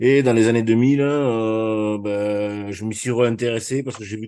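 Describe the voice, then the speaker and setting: Here a man talks at a moderate pace. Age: 60s. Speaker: amateur trader. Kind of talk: webinar self-introduction. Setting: online webinar.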